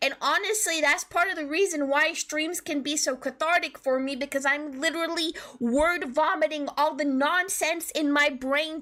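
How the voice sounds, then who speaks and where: Her voice is high with ordinary pitch variation. The woman's tone comes across bright and sharp. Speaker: streamer. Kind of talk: casual chat. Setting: live stream. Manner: calmer than usual, deliberately lowered pitch.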